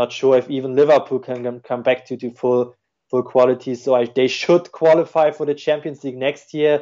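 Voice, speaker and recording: A man's medium-pitched voice, flat and monotone, at a fairly quick pace. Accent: German. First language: German. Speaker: football tactics analyst. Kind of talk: podcast interview. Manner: halting, many fillers and repeats.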